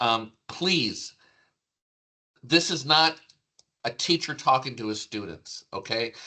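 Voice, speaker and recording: Very slow, lively speech from a man with an American accent, medium-pitched and bright, sharp in tone, broken by long, frequent pauses. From United States. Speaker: product trainer for industrial equipment. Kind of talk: online product training presentation.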